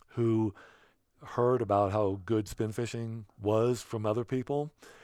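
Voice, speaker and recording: A man with a central Pennsylvania accent speaks fairly slowly at medium pitch, his intonation fairly even. The recording is very clean, with a silent background. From central Pennsylvania, Bedford County. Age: 60s. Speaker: trout angler. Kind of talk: casual interview.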